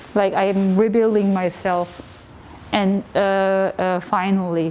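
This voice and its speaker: A woman with a Korean accent, very slow in pace, with monotone, flat intonation. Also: medium pitch for a woman. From South Korea. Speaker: artist. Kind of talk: interview. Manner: halting.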